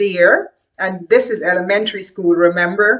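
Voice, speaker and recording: The speaker has a Guyanese accent and a fairly slow pace. The pitch swings very widely. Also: woman. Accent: Guyanese Caribbean English. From Caribbean (Guyana). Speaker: educator. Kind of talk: casual talk to camera. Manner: halting.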